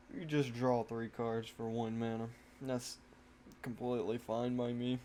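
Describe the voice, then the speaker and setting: In a slight country accent, a man speaks at a fairly slow pace with a dark, mellow tone and monotone, flat intonation. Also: medium pitch for a man. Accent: slight country twang. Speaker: gaming content creator. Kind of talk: gameplay commentary. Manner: casual, halting.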